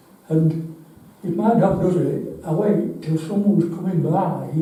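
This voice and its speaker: A high-pitched male voice with a Yorkshire accent, monotone and flat, at a fairly slow pace, with audible room echo and noticeable background noise. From northern England, Yorkshire (Ackworth, near Wakefield). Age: 80s+. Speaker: member of the public at a council meeting, blind resident. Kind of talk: public comment at a parish council meeting.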